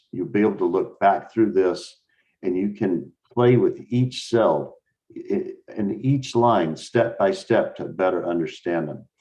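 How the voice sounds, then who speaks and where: Speaking at a fairly slow pace, a man with a fairly low pitch has a plain, everyday voice. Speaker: machine learning instructor. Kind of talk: lecture.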